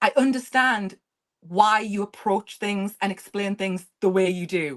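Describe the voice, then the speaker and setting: The speaker has an English accent, ordinary pitch variation and a fairly slow pace. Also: woman, medium pitch for a woman. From England. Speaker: history content creator. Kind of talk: casual chat.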